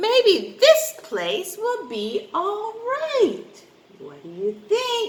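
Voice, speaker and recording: A woman does a put-on character voice at an extremely high pitch. She speaks at a very slow pace. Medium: read story. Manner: sharp, demanding.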